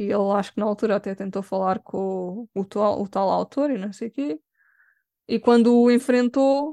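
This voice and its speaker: Against a quiet background, a woman with a Lisbon accent speaks at a moderate pace and medium pitch, her tone dark and mellow, the sound dry and close with no echo. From Lisbon, Portugal. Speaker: cosplayer and makeup artist. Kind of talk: casual interview.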